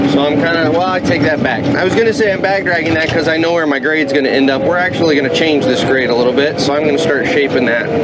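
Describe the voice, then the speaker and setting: With a fairly high voice and ordinary rise and fall in pitch, a man talks very fast with hardly any pauses and very even loudness, over audible room echo and noticeable background noise. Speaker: heavy equipment operator and vlogger. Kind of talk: casual narration while working. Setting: dozer cab outdoors. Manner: loud, yelling.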